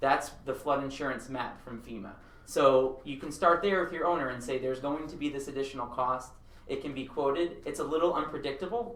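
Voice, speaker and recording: A man with an American accent talks at a fairly quick pace in a fairly high pitch with ordinary pitch variation, with noticeable background noise and audible room echo. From Long Island, New York. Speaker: architect. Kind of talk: seminar presentation. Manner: fast.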